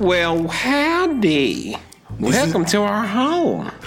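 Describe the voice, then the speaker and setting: In a put-on character voice, a female-sounding voice at a medium pitch for a woman makes very wide pitch swings at a very slow pace, with faint music in the background. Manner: welcoming, folksy.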